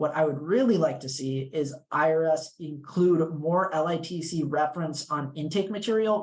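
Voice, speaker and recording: A man with a fairly high pitch, plus noticeable background noise. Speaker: legal clinic tax advocate. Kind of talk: panel discussion. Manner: fast.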